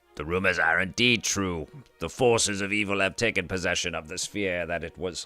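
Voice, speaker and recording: Over faint background music, a man does a put-on character voice with a very deep, low pitch at a fairly quick pace. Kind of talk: archaic, formal. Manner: regal, strained.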